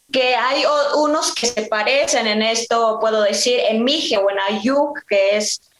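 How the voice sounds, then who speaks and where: Speaking fairly slowly with hardly any pauses, a woman with a fairly high pitch keeps her loudness very even and her pitch variation ordinary. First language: Mixe (speaking Spanish). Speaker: singer. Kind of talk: conversational interview. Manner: halting, many fillers.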